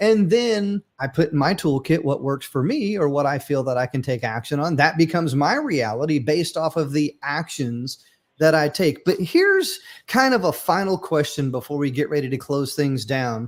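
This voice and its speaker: In a very clean recording with a silent background, a man with an ordinary speaking voice talks at a moderate pace and a fairly high pitch with ordinary pitch variation. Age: 50s. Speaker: podcast host. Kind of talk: casual chat.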